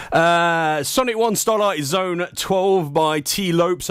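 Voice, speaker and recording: On a very clean recording with a silent background, a man speaks with an East Midlands accent. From Leicester, English Midlands. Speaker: internet radio DJ. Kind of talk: live radio DJ chat. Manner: animated.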